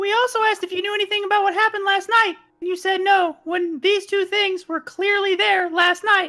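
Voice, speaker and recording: This put-on character voice is squeaky, with an extremely high pitch. It moves at a fairly quick pace with hardly any pauses. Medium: actual play.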